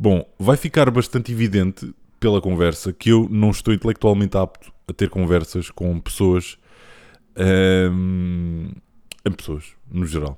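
A man's very deep, low voice, dark and mellow, at a fairly slow pace with ordinary pitch variation, on a very clean recording with a silent background. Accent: European Portuguese. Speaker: podcast host. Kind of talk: casual chat. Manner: halting.

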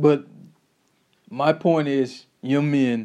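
A fairly high-pitched male voice with a dark, mellow tone. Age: 20s. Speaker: podcast host giving life advice. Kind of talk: solo monologue. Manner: halting, frequent repetitions; animated.

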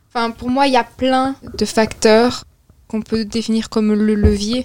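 Fairly high female voice, its intonation monotone and flat. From Belgium. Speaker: young discussion participant. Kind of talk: casual philosophical discussion.

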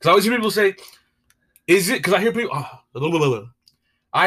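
A man talks at a fairly quick pace with very wide pitch swings and a bright, sharp tone. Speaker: podcast co-host. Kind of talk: casual chat. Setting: home recording, mic in a coffee cup. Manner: loud.

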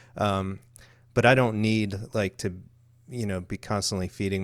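On a very clean recording with a silent background, a man with a fairly low pitch speaks with fairly even intonation. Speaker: podcast co-host. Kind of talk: casual chat.

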